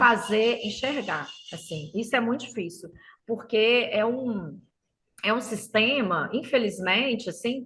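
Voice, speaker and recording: In a Minas Gerais accent, a woman speaks with a bright, sharp tone and a fairly high pitch, with ordinary pitch variation. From Minas Gerais, Brazil. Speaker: teacher. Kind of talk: podcast interview answer. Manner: chatty, hesitant.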